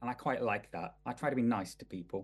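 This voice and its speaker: A man's dark, mellow tone in a Mancunian accent. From Manchester, England. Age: 40s. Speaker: celebrity personal trainer. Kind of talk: casual chat.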